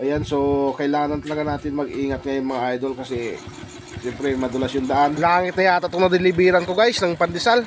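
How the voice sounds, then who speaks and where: A man's fairly quick delivery, with ordinary pitch variation, sits amid noticeable background noise. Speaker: vlogger and bread vendor. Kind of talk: vlog narration. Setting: outdoors on a mountain. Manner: casual, filler-heavy.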